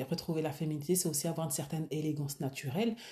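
Somewhat breathy, a woman speaks with a very deep, low pitch and a dark, mellow tone. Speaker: personal stylist and podcast host. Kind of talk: solo podcast monologue. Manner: casual, hesitant with fillers.

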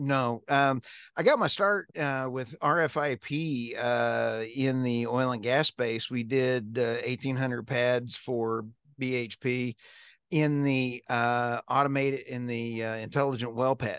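A man's medium-pitched voice with an American accent, fairly slow in pace, with a dry, close sound, no echo and a quiet background. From US, military family; high school in upstate New York. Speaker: energy company CEO and podcast host. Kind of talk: casual interview chat. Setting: video call. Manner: animated.

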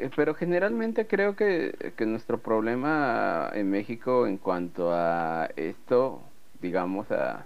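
This man speaks with a Mexican accent at a very slow pace. His pitch swings very widely. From Mexico. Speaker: writer and video producer. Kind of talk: casual chat.

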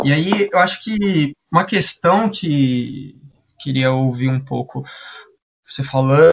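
Fairly high in pitch, a man speaks with lively intonation. His pace is very slow, with long, frequent pauses. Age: 20s. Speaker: podcast co-host. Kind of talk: podcast discussion.

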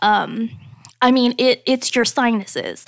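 The recording is very clean, dry and close, with no echo and a silent background. A woman speaks at a high pitch and a fairly slow pace. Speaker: podcast host. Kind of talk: casual chat.

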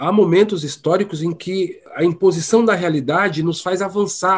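A high-pitched man's voice with ordinary pitch variation at a moderate pace. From São Paulo, east zone. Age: 40s. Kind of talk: interview.

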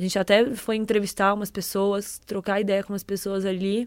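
The recording is very clean, with a silent background. A woman speaks at a moderate pace in a plain, everyday voice. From Brazil, Ribeirão Preto (São Paulo state interior). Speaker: content producer. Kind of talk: casual chat.

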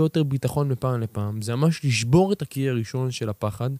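A man with a medium pitch and a dark, mellow tone talks at a moderate pace with ordinary pitch variation. The recording is very clean, with a silent background and a dry, close sound with no echo. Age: 20s. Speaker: podcast host and personal development mentor. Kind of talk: motivational solo talk. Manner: energetic.

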